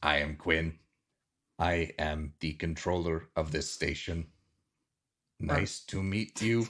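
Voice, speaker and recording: A man puts on a robotic character voice at a very deep, low pitch. He speaks at a fairly slow pace with long, frequent pauses. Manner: clipped, commanding.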